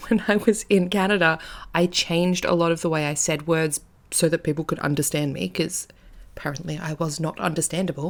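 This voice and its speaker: At a fairly quick pace, the voice carries an animated tone. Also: woman, fairly low pitch for a woman. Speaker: podcast host, tarot reader and witch. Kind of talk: casual podcast monologue. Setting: home recording with her cat. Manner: animated, self-correcting.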